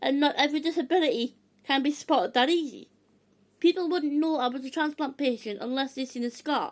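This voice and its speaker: Loud and high-pitched, a woman talks at a fairly quick pace. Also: ordinary pitch variation. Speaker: video blogger sharing health experiences. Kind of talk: casual vlog talk to camera.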